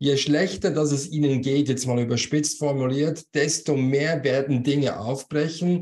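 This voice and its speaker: A man's somewhat breathy voice, fairly high in pitch, at a fairly slow pace. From Switzerland. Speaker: business coach and former manager; business coach. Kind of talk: interview. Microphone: video call.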